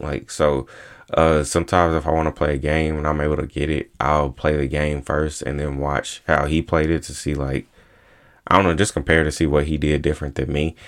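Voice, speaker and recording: At a fairly quick pace, a man with a very deep, low pitch talks in a flat monotone. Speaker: solo podcast host. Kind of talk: casual monologue. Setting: recording on laptop at home. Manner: fast, stumbling over words.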